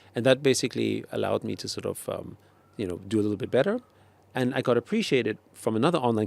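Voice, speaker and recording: The speech comes at a very fast pace with vocal fry. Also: man. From Austria, Vienna. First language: German. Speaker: tech entrepreneur. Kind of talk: interview. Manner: hesitant, many fillers.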